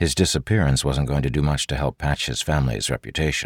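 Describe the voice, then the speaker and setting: A man speaks with vocal fry in a very deep, low voice. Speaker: audiobook narrator. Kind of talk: audiobook narration of a fantasy novel. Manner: smooth, measured storyteller pacing with soft, hushed character lines.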